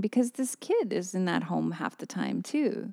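With vocal fry and a dark, mellow tone, a woman speaks at medium pitch in a dry, close sound with no echo. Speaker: podcast co-host. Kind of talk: casual banter, advice podcast. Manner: joking, playful.

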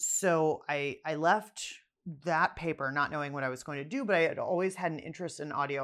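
A woman speaks at a moderate pace in a very deep, low voice, with ordinary pitch variation over a quiet background. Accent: American. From Pittsburgh, US. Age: 40s. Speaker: journalist and podcaster. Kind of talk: casual interview chat.

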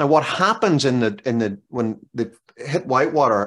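Over a silent background in a very clean recording, a man with an Irish accent speaks at a medium pitch with lively intonation. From Ireland. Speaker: author and business consultant. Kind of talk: interview.

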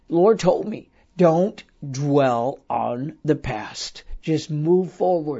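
This man's voice sits at a fairly high pitch and is somewhat breathy. His pitch varies in an ordinary way. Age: 60s. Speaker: prophetic speaker and podcast host. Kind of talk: sermon-style podcast monologue. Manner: animated.

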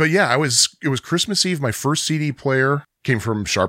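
A man with an American accent has an unremarkable speaking voice, fairly quick, with lively intonation. The sound is dry and close, with no echo. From Chicago suburbs. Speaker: podcast co-host. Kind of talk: casual chat.

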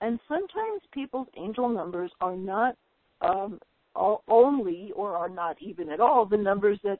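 This woman has an unremarkable speaking voice at medium pitch with ordinary pitch variation. She speaks at a moderate pace. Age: 50s. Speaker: spiritual channel host. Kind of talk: webcast interview. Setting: webcast call.

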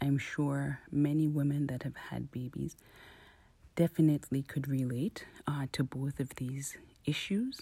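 A woman speaks at a fairly slow pace with a very deep, low pitch, a somewhat breathy sound, and fairly even intonation. The recording is very clean, with a silent background. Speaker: mother. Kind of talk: recorded interview answer.

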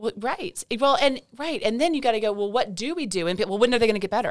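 With an East Tennessee accent, a woman speaks very fast at a fairly high pitch, her voice showing vocal fry and very wide pitch swings. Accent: Southern US (East Tennessee). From US South (East Tennessee). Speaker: physician. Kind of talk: interview. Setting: studio.

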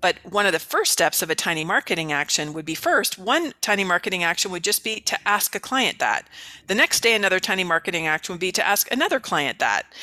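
A woman with an American accent speaks very fast at a medium pitch, her pitch varying in an ordinary way. Her tone is bright and sharp, with a dry, close sound and no echo. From US West Coast, San Francisco Bay Area. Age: 50s. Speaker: author and business coach. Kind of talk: interview. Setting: video call.

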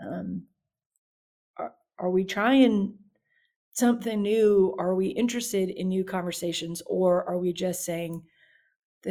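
Speaking with a Louisiana accent, a woman uses a dark, mellow tone at a medium pitch and a fairly slow pace, with fairly even intonation. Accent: Southern US (Louisiana). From US South, south Louisiana (Baton Rouge). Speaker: youth minister. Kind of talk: interview.

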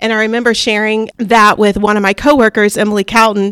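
Her pitch fairly high, a woman talks at a fairly quick pace. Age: 30s. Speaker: teacher and assistant principal. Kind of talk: interview.

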